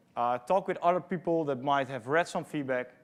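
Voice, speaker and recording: Moderate pace and ordinary pitch variation with a Dutch accent, in a very clean recording with a silent background. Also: man. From Netherlands. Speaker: conference speaker, product manager. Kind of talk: conference talk. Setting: stage with audience. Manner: frequent fillers (um, uh).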